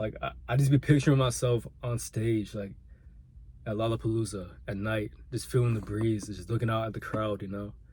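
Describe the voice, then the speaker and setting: This man's somewhat breathy voice sits at a medium pitch, moving at a moderate pace with ordinary pitch variation. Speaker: vlogger and aspiring musician. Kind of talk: personal vlog monologue. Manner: halting, repeats words.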